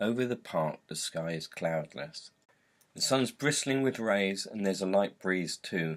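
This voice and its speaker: In a very clean recording with a silent background, a man with a normal speaking voice talks at a moderate pace, his fairly low pitch showing ordinary pitch variation. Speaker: author and reader. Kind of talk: read short story.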